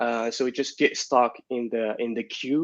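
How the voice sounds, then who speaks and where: This man has a non-native accent. He speaks at a moderate pace with a medium pitch. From Morocco. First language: not English. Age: 20s. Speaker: security consultant. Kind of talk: interview answer.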